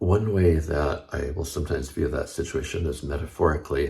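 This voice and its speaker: A man's very deep, low voice with a dark, mellow tone and vocal fry, at a moderate pace with ordinary pitch variation. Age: 70s. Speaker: health and longevity video host. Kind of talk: informational talk to camera.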